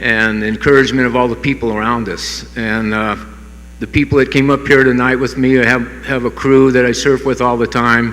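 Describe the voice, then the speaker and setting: A man with an American accent, flat and monotone in intonation, at a moderate pace amid noticeable background noise. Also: medium pitch for a man. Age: 70s. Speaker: hall of fame inductee, surfer and skateboarder. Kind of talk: acceptance speech. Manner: halting, many fillers.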